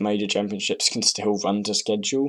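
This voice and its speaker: With a British accent, a man speaks at a moderate pace in a fairly low pitch, his intonation monotone and flat. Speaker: speedcuber. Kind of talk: casual reaction commentary. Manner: hesitant, rambling.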